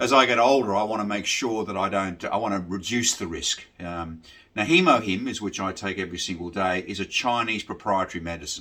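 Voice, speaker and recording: A man's fairly low, bright, sharp voice with an Australian accent, fairly quick, with ordinary pitch variation. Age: 60s. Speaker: military veteran and delivery rider sharing health experience. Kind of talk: informal talk to camera about a supplement. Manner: halting, many fillers.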